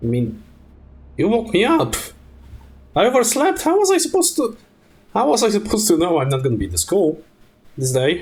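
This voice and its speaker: A man speaks fairly quickly in a high voice that swings very widely in pitch. His speech is broken by long, frequent pauses. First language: Polish. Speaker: streamer. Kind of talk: casual gaming stream storytelling. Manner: halting, many fillers and restarts.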